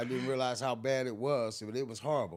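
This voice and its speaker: The man has an unremarkable speaking voice, medium in pitch, with ordinary pitch variation. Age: 60s. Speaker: person in recovery. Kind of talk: casual chat.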